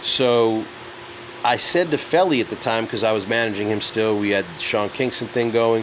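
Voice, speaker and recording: Noticeable background noise sits under the voice. A man with a New York accent talks at a medium pitch. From New York City. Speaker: music entrepreneur. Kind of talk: casual chat. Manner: animated.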